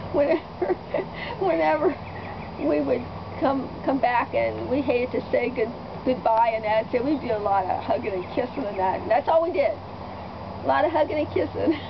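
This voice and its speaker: The voice moves at a moderate pace with very wide pitch swings, over noticeable background noise. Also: woman, high pitch for a woman. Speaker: grandmother. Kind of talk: interview answer. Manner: casual, humorous storytelling.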